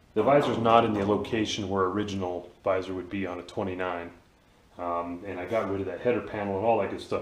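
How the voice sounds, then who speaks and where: Over audible room echo, a man talks at a very fast pace in a fairly low voice with fairly even intonation. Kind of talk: tutorial. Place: garage. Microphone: phone near.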